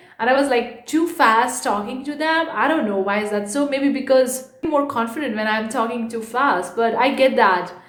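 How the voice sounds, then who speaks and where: Speech with ordinary pitch variation and hardly any pauses comes through audible room echo and noticeable background noise. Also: woman, high pitch for a woman. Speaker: online art entrepreneur YouTuber. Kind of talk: casual vlog. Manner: fast.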